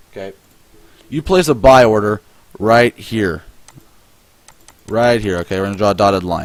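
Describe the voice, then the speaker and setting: Over noticeable background noise, a man speaks at a moderate pace and fairly low pitch, with ordinary pitch variation and long, frequent pauses. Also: big swings in loudness. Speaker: forex trading instructor. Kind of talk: tutorial. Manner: halting, self-correcting; casual.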